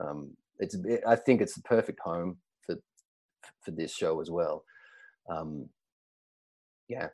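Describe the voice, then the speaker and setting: Delivery comes at a fairly slow pace with long, frequent pauses. Loudness swings widely. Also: man. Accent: Australian. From Australia. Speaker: actor. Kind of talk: casual chat.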